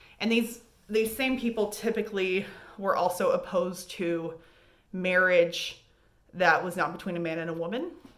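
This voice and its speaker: A woman speaks at a medium pitch with ordinary pitch variation, leaving long, frequent pauses. Audible room echo and noticeable background noise surround her voice. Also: moderate pace. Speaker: high school history teacher. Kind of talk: recorded remote lesson review. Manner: casual, conversational.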